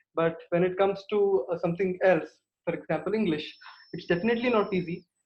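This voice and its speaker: This man's voice sits at a high pitch, and he speaks with an Indian accent and fairly even intonation. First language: Kannada. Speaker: guest at speaking club. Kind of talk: impromptu feedback at online club meeting. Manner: halting, many fillers.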